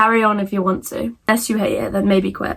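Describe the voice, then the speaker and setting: A woman with a British accent talks at a very fast pace. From Britain. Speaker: content creator. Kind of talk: casual Q&A vlog. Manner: stutters over words; animated.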